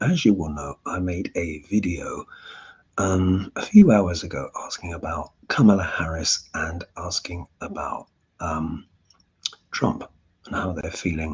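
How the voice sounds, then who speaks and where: A quiet, somewhat breathy male voice, very deep and low in pitch, with fairly even intonation at a fairly slow pace. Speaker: astrologer and tarot reader. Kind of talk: casual live Q&A. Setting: at home, to camera. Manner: quiet, held-back speaking.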